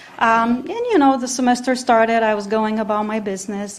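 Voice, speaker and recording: A woman's fairly high voice at a fairly quick pace, with audible room echo and noticeable background noise. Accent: Romanian. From Romania. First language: Romanian. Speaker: professor. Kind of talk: conference talk. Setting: conference with audience. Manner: hesitant, many fillers.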